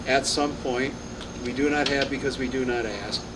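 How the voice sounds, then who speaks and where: Male speech with audible room echo, noticeable background noise in the mix. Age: 80s+. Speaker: retired pastor. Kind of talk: birthday speech. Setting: restaurant event with audience. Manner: halting.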